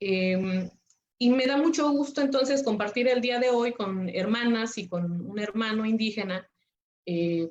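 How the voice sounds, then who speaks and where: At a fairly slow pace, a woman speaks in a fairly high pitch. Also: ordinary pitch variation. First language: Nahuatl (speaking Spanish). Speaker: lawyer and webinar speaker. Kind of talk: webinar presentation. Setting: online webinar. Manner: hesitant, many filler sounds.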